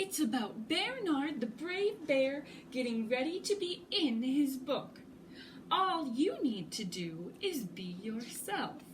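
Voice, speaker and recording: Over clear background noise, a woman uses a put-on character voice, high in pitch and swinging very widely, at a fairly slow pace. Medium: read story. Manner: gracious, warm.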